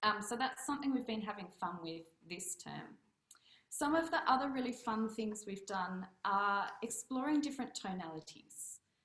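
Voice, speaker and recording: The speaker has lively intonation and an Australian accent, moving at a moderate pace. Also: woman, fairly high pitch for a woman. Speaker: piano teacher. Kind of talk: casual presentation on video meet-up.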